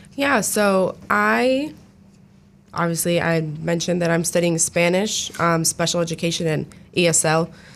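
A normal speaking voice with an American accent, lively intonation and a moderate pace. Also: woman, fairly low pitch for a woman. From New Jersey. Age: 20s. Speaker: education student and student producer. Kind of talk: casual interview. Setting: radio studio.

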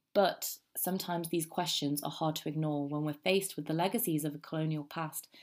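A woman with a British accent and a very deep, low pitch speaks at a fairly quick pace. Her intonation is fairly even on a very clean recording with a silent background. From England. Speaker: student history podcaster. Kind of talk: scripted narration.

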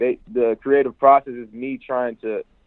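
The speaker talks at a moderate pace in an American accent. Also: man. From Chicago, US. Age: young. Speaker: hip-hop artist. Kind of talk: interview.

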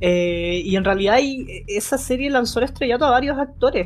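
With music in the background, a woman speaks in a Chilean accent with lively intonation. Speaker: podcast host. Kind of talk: casual chat.

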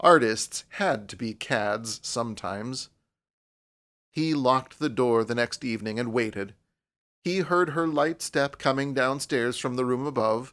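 A man with a plain, everyday voice, medium in pitch with ordinary pitch variation, at a fairly slow pace on a very clean recording with a silent background. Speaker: audiobook narrator. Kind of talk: dramatic narration, reading a story aloud. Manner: suspenseful, hushed and tense, with shifting character voices.

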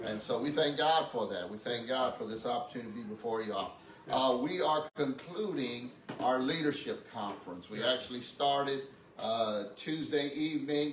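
A man with a fairly high pitch and ordinary pitch variation talks at a moderate pace, noticeable background noise behind him. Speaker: pastor. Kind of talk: church announcements and exhortation. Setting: church.

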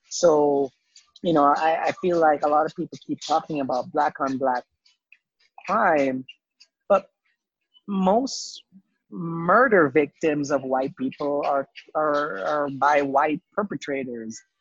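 A man with a fairly high pitch, at a very slow pace with long, frequent pauses. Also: ordinary pitch variation. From Jamaica. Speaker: physician. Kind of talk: interview. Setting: coffee shop. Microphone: poor audio quality.

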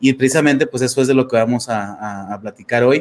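Fairly even intonation shapes this man's medium-pitched voice. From Mexico, Torreón, Coahuila. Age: 30s. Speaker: life coach. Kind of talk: interview testimony. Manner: halting, many fillers.

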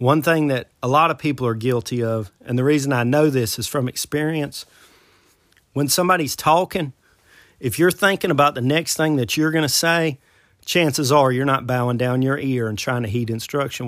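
An ordinary speaking voice from a man, medium in pitch, with ordinary pitch variation and a moderate pace, on a very clean recording with a silent background. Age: 40s. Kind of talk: Bible teaching monologue.

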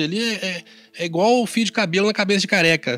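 This man speaks at a high pitch and a fairly quick pace, with ordinary pitch variation. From Brazil, interior of Minas Gerais. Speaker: dentist and church bassist. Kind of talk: interview about life story.

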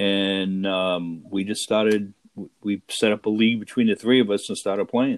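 A man's plain, everyday voice with an American accent, fairly low in pitch, with fairly even intonation at a moderate pace. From Rhode Island, US. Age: 60s. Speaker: tabletop baseball league player. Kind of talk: interview.

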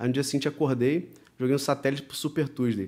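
In a Rio de Janeiro accent, a man of medium pitch speaks with fairly even intonation in a very clean recording with a silent background. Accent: Carioca Brazilian Portuguese. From Brazil, Rio de Janeiro. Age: 30s. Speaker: professional poker player. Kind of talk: casual chat. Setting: studio.

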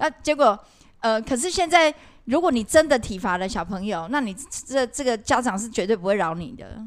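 On a very clean recording with a silent background, a woman with a fairly high pitch speaks at a moderate pace, her pitch swinging very widely and her loudness rising and falling in big swings. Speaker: podcast co-host, former cram school English teacher. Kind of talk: casual chat.

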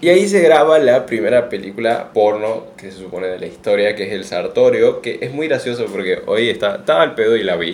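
With hardly any pauses, a man speaks at a fairly quick pace, his loudness swinging widely. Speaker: podcast co-host. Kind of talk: casual chat.

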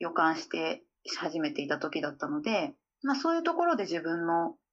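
Over music in the background, a woman's voice rises and falls in very wide pitch swings. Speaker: calligrapher. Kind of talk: interview conversation. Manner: hesitant, with many fillers.

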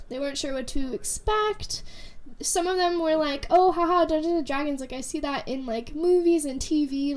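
Fairly quick speech from a woman, high in pitch with ordinary pitch variation. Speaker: podcast co-host, college student. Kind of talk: casual chat.

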